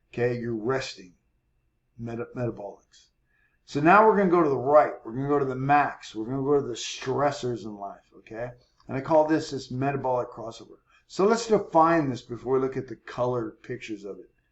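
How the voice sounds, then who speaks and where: With a normal speaking voice, a man at a medium pitch talks at a fairly quick pace, his loudness swinging widely. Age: 60s. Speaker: fitness coach. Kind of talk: tutorial. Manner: casual, explanatory.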